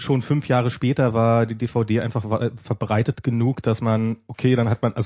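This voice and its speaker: Monotone, flat intonation pairs with a dark, mellow tone in this voice. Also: man. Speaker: podcast host. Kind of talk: casual chat. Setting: studio. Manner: halting.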